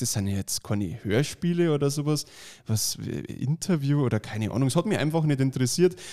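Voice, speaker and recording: A man with an Upper Bavarian accent speaks at a medium pitch and a fairly quick pace, his intonation lively. The recording is very clean, with a silent background. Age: 30s. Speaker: magician and podcast co-host. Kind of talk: casual chat.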